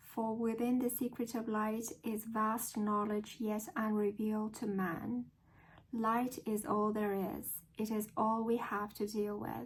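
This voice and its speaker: A woman with an American accent speaks very slowly at a fairly high pitch, somewhat breathy, with monotone, flat intonation. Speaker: English learner practicing accent. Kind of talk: reading aloud. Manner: deliberate, careful pronunciation.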